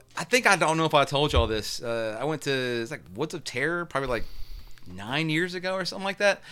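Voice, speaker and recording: In an American accent, a man speaks with a bright, sharp tone. His pitch is fairly high. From US South, North Carolina (Kernersville). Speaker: podcast guest, horror fan. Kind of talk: casual chat.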